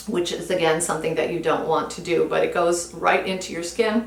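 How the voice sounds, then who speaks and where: Amid noticeable background noise and audible room echo, a woman speaks at a fairly low pitch with ordinary pitch variation. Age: 60s. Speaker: beauty vlogger. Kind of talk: product review. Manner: casual, conversational.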